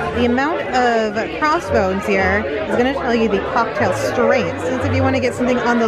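Moderately paced speech from a woman over background music. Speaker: travel vlogger. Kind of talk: casual vlog chat. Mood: upbeat, enthusiastic. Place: bar. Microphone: handheld.

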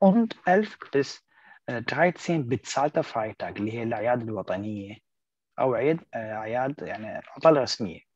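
A man with an Arabic accent speaks at a very slow pace, with a medium pitch and lively intonation, in a dry, close sound with no echo. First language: Arabic (speaking German). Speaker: German language teacher. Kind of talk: online language lesson.

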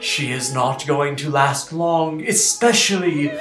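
A man speaks very slowly with audible room echo and faint music in the background. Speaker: comedic spam reader. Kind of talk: theatrical reading of an email. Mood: mock-pleading, melodramatic. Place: home room. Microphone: webcam.

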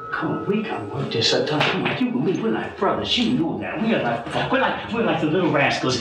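The speech moves at a fairly quick pace, with audible room echo and faint music in the background. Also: man. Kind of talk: scripted film dialogue. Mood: pleading, nervous in last clip. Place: home room.

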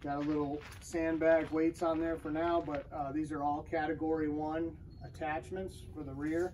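Moderate-paced speech over light background noise. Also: man. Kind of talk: casual vlog chat. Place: garage. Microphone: camera far.

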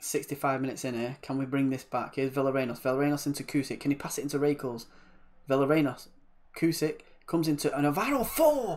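A man talks at a very fast pace in an animated tone. His pitch sits fairly high. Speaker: gaming YouTuber. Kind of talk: video game let's play with live-style match commentary. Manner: animated, excitable, rapid-fire play-by-play with football-fan exclamations; casual, chatty, friendly.

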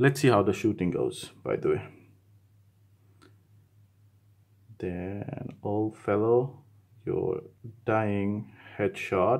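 Over a quiet background, a man talks at a very slow pace. He leaves long, frequent pauses. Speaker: tech reviewer. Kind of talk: gameplay commentary. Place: studio.

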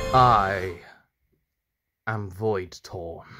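A man puts on a character voice, his pitch fairly low. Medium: audio drama.

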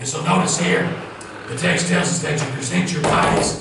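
A man with a Southern US accent speaks with very wide pitch swings. There is strong room echo and light background noise. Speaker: pastor. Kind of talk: sermon. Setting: church. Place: church. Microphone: camera far.

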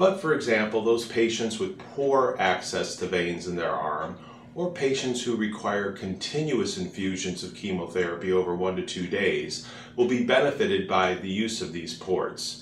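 Heard with audible room echo and light background noise, a man talks at a moderate pace. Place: office.

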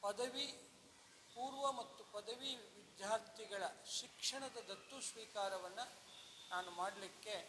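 A man's raised, projected voice at a high pitch, ordinary pitch variation, noticeable background noise. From Solapur district, Maharashtra-Karnataka border (Akkalkot). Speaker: retired chemistry lecturer, event organizer. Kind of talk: event announcement interview.

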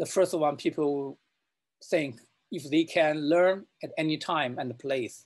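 At a slow pace, a man talks with a fairly high pitch and ordinary pitch variation.

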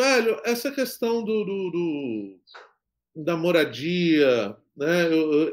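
Speaking very slowly, a man with a high pitch makes very wide pitch swings. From Espírito Santo, Brazil (Guarapari); Espírito Santo, Brazil. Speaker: film director; interviewee. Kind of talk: interview. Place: home room.

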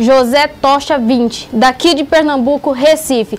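Over light background noise, a woman speaks in a high pitch. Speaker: YouTuber, comedy channel host. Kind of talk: casual vlog shout-outs, reading viewer comments. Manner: animated. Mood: warm, playful. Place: studio. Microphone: lapel.

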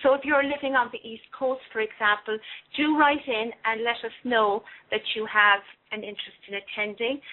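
Using an unremarkable speaking voice, a woman talks at a moderate pace with a fairly high pitch and fairly even intonation. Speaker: co-host relaying chat questions. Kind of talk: casual chat.

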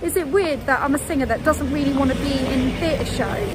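Faint music sits behind a woman's high-pitched voice in a dry sound with no echo. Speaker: travel vlogger. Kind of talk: casual vlog chat. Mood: cheerful, laughing. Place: street.

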